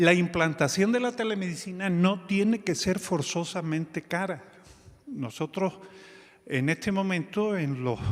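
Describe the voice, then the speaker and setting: A man at a fairly slow pace. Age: 60s. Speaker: physician and telemedicine organization leader. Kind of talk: conference talk. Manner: halting, with fillers.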